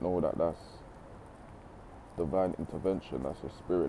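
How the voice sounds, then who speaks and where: A man with a very deep, low, dark and mellow voice and vocal fry speaks at a moderate pace with fairly even intonation. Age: 20s. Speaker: motivational speaker. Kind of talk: motivational talk. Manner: casual, conversational.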